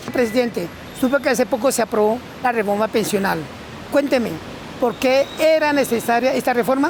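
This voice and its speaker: Despite long, frequent pauses, a high-pitched woman speaks at a fairly quick pace with very even loudness against noticeable background noise. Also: ordinary pitch variation. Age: 60s. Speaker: shoeshiner. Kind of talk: casual interview.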